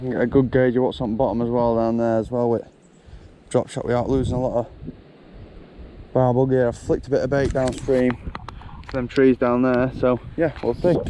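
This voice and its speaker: A man with a medium-pitched voice talks at a fairly quick pace in a flat monotone. Long, frequent pauses break up his speech over noticeable background noise. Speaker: angling vlogger. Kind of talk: casual vlog narration. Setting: outdoors by a river.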